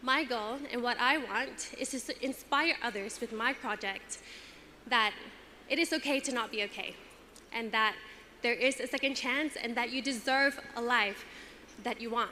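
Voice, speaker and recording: Pausing long and often, a woman with a high pitch speaks at a moderate pace with fairly even intonation. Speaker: pageant contestant. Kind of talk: prepared speech.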